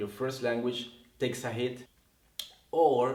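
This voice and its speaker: Fairly slow speech from a man with a Spanish accent. His pitch is medium and his intonation fairly even. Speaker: English teacher. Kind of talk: casual talk to camera.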